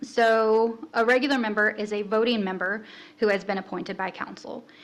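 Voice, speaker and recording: Speaking at a moderate pace, a woman has a normal speaking voice, fairly high in pitch, with fairly even intonation. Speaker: city staff presenter. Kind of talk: orientation presentation.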